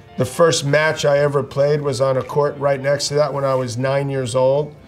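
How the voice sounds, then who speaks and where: The voice moves at a moderate pace in a monotone, flat intonation. Faint music plays in the background. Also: man. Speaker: former tennis player reviewing films. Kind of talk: interview answer. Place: studio.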